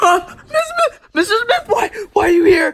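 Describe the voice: A man puts on a character voice at an extremely high pitch, with big pitch swings and a fairly bright tone. Vocal fry runs through it at a moderate pace.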